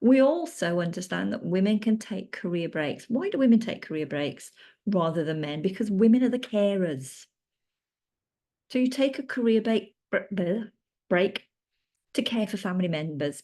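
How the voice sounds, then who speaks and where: Against a quiet background, a woman with a British accent speaks in a dark, mellow tone with very wide pitch swings. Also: medium pitch for a woman, moderate pace. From UK. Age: 50s. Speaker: menopause coach. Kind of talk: presentation. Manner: occasionally halting.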